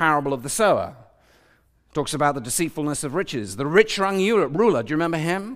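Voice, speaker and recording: This is a very clean recording with a silent background. Intonation rises and falls in a lively way. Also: man. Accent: British. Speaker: preacher. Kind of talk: sermon. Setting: church with congregation. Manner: fast.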